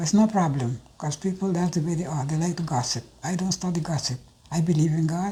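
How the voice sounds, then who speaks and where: A woman's fairly low, somewhat breathy voice with a dark, mellow tone, lively intonation, and a moderate pace. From Curacao. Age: 70s. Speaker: senior citizen interviewee. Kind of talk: personal testimony interview.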